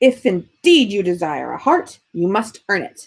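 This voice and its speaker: In a put-on character voice, a female-sounding speaker growls in a gruff, medium-pitched tone at a moderate pace. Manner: gruff, low growling.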